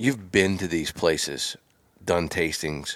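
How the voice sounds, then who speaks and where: On a very clean recording with a silent background, a man with a very deep, low pitch talks at a fairly slow pace with ordinary pitch variation. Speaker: podcast host. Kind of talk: casual interview. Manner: enthusiastic.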